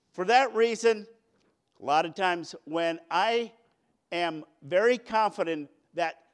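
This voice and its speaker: The recording is very clean, its background silent. A man talks with ordinary pitch variation. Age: 50s. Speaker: preacher. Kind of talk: sermon.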